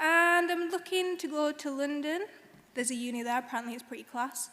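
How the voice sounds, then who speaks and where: Speaking at a fairly quick pace, a woman raises and projects her high-pitched voice in a bright, sharp tone with ordinary pitch variation. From northern England, Bradford. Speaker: graduate student speaker. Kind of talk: graduation speech. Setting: stage with audience in concert hall.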